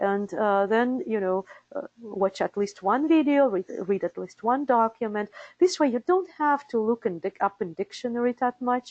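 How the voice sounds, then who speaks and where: A woman with a Russian accent speaks at a moderate pace, her pitch fairly high and her intonation lively. The sound is dry and close, with no echo. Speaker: interpreter certification director. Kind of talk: webinar presentation. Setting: live webinar. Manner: hesitant with fillers.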